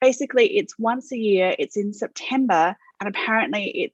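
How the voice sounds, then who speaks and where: A woman with an Australian accent speaks at a fairly slow pace. Her pitch varies in an ordinary way, and the sound is dry and close with no echo. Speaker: author. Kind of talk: interview. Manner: hesitant, many fillers.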